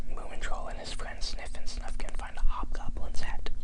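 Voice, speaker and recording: A man whispers at a moderate pace, with noticeable background noise around him. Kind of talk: reading aloud from a book. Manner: soft-spoken, whispered; rambling, hesitant.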